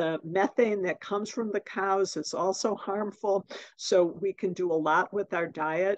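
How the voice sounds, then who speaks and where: Speaking in an ordinary speaking voice, a woman keeps a medium pitch, a fairly slow pace and fairly even intonation over a quiet background. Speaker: oncologist; guest. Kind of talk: presentation. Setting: video call. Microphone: video call.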